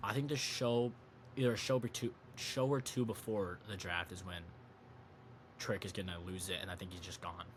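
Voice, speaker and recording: Somewhat breathy and fairly low in pitch, a man speaks with big swings in loudness and long, frequent pauses. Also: ordinary pitch variation. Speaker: wrestling and sports podcast host. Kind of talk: casual solo commentary. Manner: fast; halting, self-correcting.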